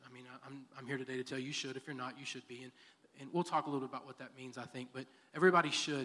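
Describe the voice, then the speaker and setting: Speaking very fast in a Texan accent, a man uses a medium-pitched, bright, sharp tone with monotone, flat intonation and big swings in loudness. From Texas, Texas City area. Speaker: church elder and school district worker. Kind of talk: interview testimony in church service.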